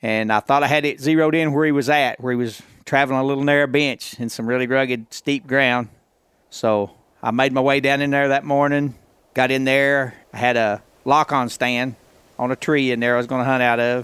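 A man with a medium pitch talks at a fairly quick pace in a monotone, flat intonation, on a very clean recording with a silent background. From Northwest Arkansas. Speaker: bowhunter. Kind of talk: storytelling.

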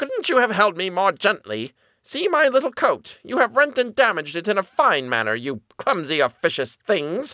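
Squeaky and clearly a put-on character voice. It runs on with hardly any pauses. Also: man, high pitch for a man, moderate pace. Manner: indignant, complaining.

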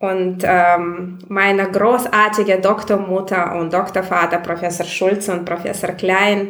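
A woman with a Russian accent speaks fairly slowly at medium pitch. Noticeable background noise and audible room echo surround her voice. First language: Russian (speaking German). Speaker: migration researcher. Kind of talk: interview. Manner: hesitant, many fillers.

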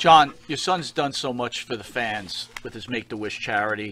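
In an American accent, a man with a normal speaking voice talks at medium pitch and a moderate pace with ordinary pitch variation. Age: 50s. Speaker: wrestling show host. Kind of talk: interview. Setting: studio.

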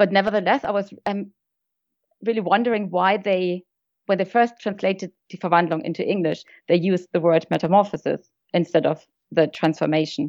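A woman with a German accent talks at a fairly quick pace and medium pitch, with ordinary pitch variation, over a quiet background in a dry, close sound with no echo. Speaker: friend and guest.

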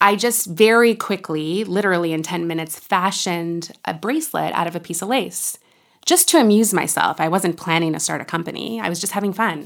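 A woman with a fairly low pitch speaks at a fairly quick pace in an animated tone, with ordinary pitch variation. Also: very clean recording, silent background. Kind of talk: interview conversation.

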